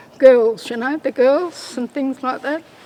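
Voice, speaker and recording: A woman's voice over noticeable background noise. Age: old. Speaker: Stolen Generation survivor. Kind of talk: testimony.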